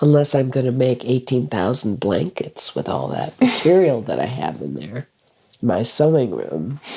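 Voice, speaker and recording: A woman's very deep, low voice with a dark, mellow tone, vocal fry and very wide pitch swings. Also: moderate pace. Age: 70s. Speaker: retired school director. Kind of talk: casual chat.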